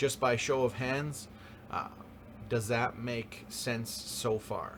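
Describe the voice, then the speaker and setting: At a fairly slow pace, a man with a medium pitch talks in fairly even intonation, and room echo is audible. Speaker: high school photography teacher. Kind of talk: classroom lecture. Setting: live class, recorded. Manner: frequent fillers (um, uh).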